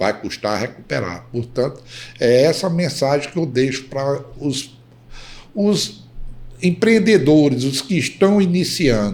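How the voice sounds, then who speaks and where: A man speaks at a fairly high pitch and a fairly slow pace. His pitch swings very widely. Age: 70s. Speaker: company founder. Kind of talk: interview.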